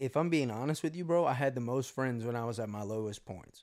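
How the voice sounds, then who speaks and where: A man with an American accent, a plain, everyday voice, medium pitch, ordinary pitch variation and a fairly quick pace. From US South. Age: 20s. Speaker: podcast host, business owner. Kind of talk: casual chat.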